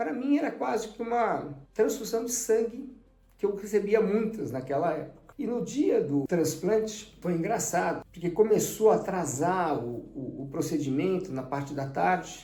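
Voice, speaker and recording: With hardly any pauses, a man at a high pitch speaks at a moderate pace with very wide pitch swings, amid noticeable background noise and audible room echo. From Brazil, São Paulo. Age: 60s. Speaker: transplant survivor, amateur tennis player. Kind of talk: testimony.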